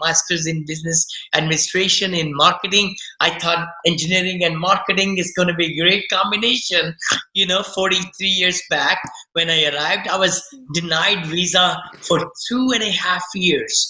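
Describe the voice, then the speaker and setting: Moderate pace in an Indian accent, with noticeable background noise. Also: man. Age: 60s. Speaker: real estate investor. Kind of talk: podcast interview. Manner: animated.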